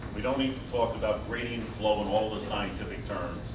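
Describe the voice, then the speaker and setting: A man's moderate-paced speech comes through audible room echo and noticeable background noise. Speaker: resident speaking at public meeting. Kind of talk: public comment at community meeting. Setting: public meeting hall with audience. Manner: loud. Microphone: recorded on a cell phone.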